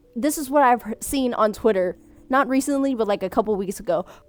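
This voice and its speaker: Over music in the background, a woman speaks at a high pitch. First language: Vietnamese. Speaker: content creator reading viewer submissions. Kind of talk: casual chat.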